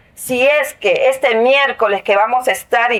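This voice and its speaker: A woman's high-pitched voice at a fairly slow pace, with noticeable background noise. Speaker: union representative of dismissed workers. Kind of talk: interview testimony.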